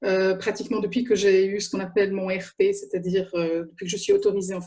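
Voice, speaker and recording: A woman talks very fast at a medium pitch, her tone dark and mellow and somewhat breathy. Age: 50s. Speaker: journalist. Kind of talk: panel talk. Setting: video call.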